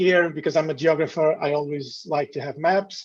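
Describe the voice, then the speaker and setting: With a Portuguese accent, a man speaks in a fairly high pitch with fairly even intonation. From northern Portugal. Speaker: university lecturer. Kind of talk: lecture. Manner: halting.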